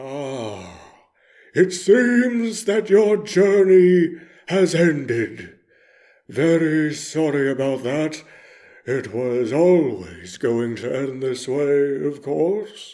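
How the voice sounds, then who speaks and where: A put-on character voice from a man, fairly high-pitched and very slow. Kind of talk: character monologue reading. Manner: exaggerated dramatic.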